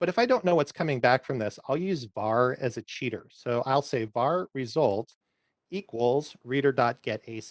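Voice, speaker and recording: A man speaks with a fairly high pitch and ordinary pitch variation. His pace is moderate. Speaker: software developer giving a technical talk. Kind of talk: technical presentation with live coding.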